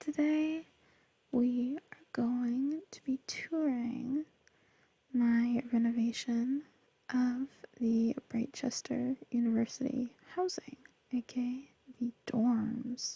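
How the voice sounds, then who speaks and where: A soft-spoken voice carries a calm tone. The pace is very slow, with long, frequent pauses. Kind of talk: ASMR soft-spoken gameplay tour. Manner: soft-spoken, calm.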